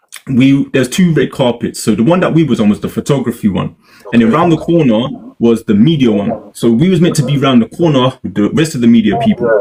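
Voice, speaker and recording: A man speaks very fast with a British accent. His medium-pitched voice has lively intonation. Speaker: media interviewer and content creator. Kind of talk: casual chat. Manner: animated.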